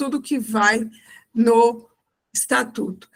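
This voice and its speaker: This woman's voice sits fairly high and comes out somewhat breathy. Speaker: church fundraising consultant. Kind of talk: online live class.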